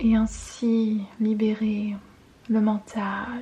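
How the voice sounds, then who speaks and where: A calm woman's voice, fairly high in pitch, with noticeable background noise. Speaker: intuitive guidance reader and ASMR creator. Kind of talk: ASMR guidance reading. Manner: soft, calm, relaxing.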